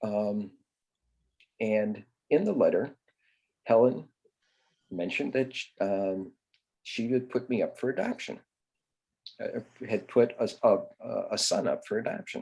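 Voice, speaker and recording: At a fairly slow pace, a man talks with long, frequent pauses. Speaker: grief support cofounder sharing adoption story. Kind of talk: interview storytelling. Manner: halting, many fillers.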